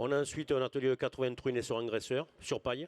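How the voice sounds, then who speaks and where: A man is talking here. His pitch sits in the medium range. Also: dry, close sound with no echo. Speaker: farm manager at agricultural school. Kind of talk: conference talk.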